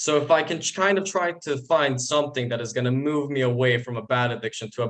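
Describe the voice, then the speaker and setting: A man with a Bosnian accent speaks at a fairly quick pace with ordinary pitch variation. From Bosnia and Herzegovina. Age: 20s. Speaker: university student. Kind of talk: interview testimony. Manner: halting, repeats words.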